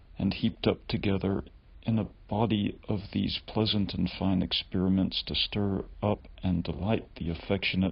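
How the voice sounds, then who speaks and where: Soft-spoken, a man with a very deep, low pitch talks at a moderate pace with fairly even intonation. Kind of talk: ASMR reading of a historical text.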